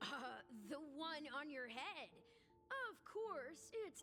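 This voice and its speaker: A high-pitched, put-on character voice speaks at a very slow pace. Clear background noise is audible. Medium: video game.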